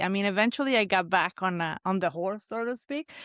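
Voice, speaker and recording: A woman's fairly quick delivery in a dry, close sound with no echo, on a very clean recording with a silent background. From Italy. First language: Italian. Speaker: chef. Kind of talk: casual chat.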